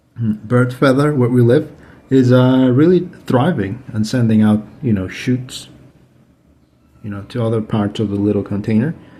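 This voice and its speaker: A man with a Spanish accent, medium in pitch, somewhat breathy, with a dark, mellow tone. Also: ordinary pitch variation, moderate pace. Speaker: aquarium hobbyist. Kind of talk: tutorial. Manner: halting, many fillers; casual.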